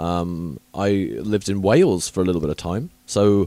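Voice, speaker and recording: In a southern English accent, a man with a very deep, low pitch and a dark, mellow tone speaks with ordinary pitch variation on a very clean recording with a silent background. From southern England, Southampton. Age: 30s. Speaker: podcast host. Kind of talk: casual chat. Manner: chatty, hesitant with many fillers.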